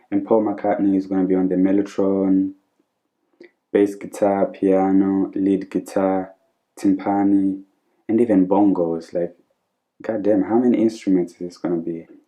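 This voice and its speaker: With music behind him, a man with a fairly low pitch talks at a moderate pace in a monotone, flat intonation, leaving long, frequent pauses. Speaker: music reaction youtuber. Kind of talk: casual reaction video.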